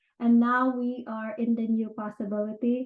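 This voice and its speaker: At a moderate pace, a woman with a Filipino accent talks in a high pitch with fairly even intonation. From Philippines. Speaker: real estate agent and NLP practitioner. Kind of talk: casual talk / informal lecture. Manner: conversational with frequent fillers.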